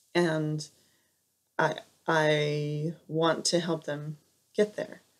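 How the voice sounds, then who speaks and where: A soft-spoken woman talks with an American accent. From Southern California. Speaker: piano teacher. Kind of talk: video interview.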